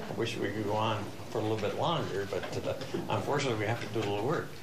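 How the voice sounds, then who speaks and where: Noticeable background noise accompanies this man's speech. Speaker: council chair thanking the choir. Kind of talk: formal public remarks. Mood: warm, festive. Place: meeting room. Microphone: podium.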